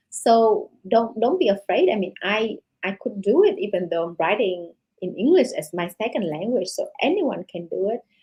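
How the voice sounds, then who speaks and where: A woman with a Vietnamese accent speaks in a fairly high, somewhat breathy voice. Her pitch swings very widely at a moderate pace. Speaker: novelist. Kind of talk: interview. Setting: podcast interview. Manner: halting, many fillers.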